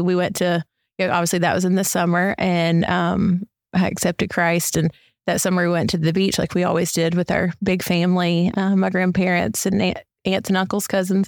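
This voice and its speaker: The speaker has a Southern US accent and a fairly quick pace, with flat, monotone intonation. The recording is very clean and dry, close with no echo and a silent background. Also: woman. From US South, Mississippi. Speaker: church member, youth softball coach. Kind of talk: interview.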